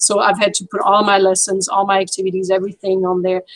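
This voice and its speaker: A woman speaks in a French accent at a very fast pace. Her pitch is medium and her intonation monotone and flat. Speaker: French teacher. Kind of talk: casual chat. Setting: video call.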